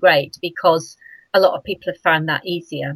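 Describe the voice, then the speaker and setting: The recording of a woman is dry and close with no echo, and she has an unremarkable speaking voice with a fairly low pitch and ordinary pitch variation. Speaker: fibre artist and cyclist. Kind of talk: casual interview.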